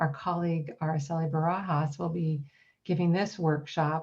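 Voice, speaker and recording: The woman's voice sits fairly low and sounds somewhat breathy. She keeps a moderate pace. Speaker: college counselor and workshop presenter. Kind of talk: online workshop presentation.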